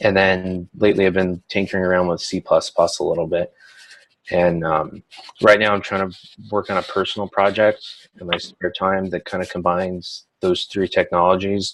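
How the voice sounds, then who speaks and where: A man with a very deep, low pitch, flat monotone intonation and a moderate pace. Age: 20s. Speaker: online computer science student. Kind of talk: self-introduction in online class orientation. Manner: hesitant, many fillers.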